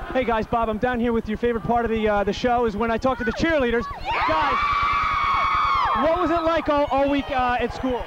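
A man's voice at very even loudness with hardly any pauses, dry with no echo, over crowd noise in the background. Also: moderate pace. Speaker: sideline reporter. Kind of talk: sideline report. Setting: outdoors on football sideline. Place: stadium. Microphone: handheld.

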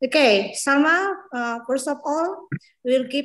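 A woman speaks with a high pitch at a very slow pace. The background is quiet. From Indonesia. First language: Indonesian. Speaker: seminar moderator, lecturer. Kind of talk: formal moderation. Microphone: video call.

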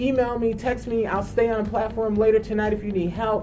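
Clear music plays behind a woman who talks at a moderate pace. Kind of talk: interview answer. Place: studio. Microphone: lapel.

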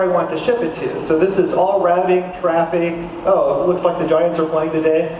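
A man talks at a moderate pace in a high voice. Light background noise and audible room echo surround him. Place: hall.

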